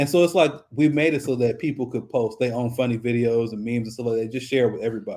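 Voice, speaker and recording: In an American accent, a man rattles along at a very fast pace, his tone dark and mellow and his intonation fairly even. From South Central Los Angeles. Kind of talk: casual interview.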